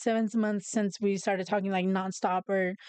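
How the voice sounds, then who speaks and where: A woman talks at a moderate pace. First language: Spanish. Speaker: podcast host. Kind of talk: casual chat. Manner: halting.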